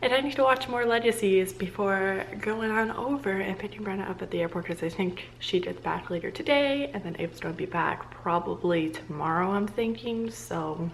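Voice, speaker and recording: A soft-spoken woman talks at a moderate pace with hardly any pauses, her medium pitch making very wide swings. Noticeable background noise runs underneath. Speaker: vlogger and party princess performer. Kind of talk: casual vlog chat. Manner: filler-heavy, uses like a lot.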